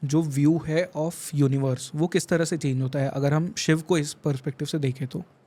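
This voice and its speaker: A man speaks at a moderate pace in a fairly high, somewhat breathy voice. His tone is dark and mellow, with ordinary pitch variation. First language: not Hindi-dominant, weak Hindi (speaking Hindi). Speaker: podcast host. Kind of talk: podcast interview.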